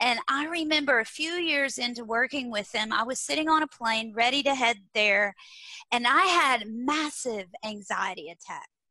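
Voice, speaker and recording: Lively intonation carries a strong Texas accent. The pace is moderate. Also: woman, high pitch for a woman. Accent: thick Texas. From small-town Texas. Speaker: leadership and learning speaker. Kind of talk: interview. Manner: animated.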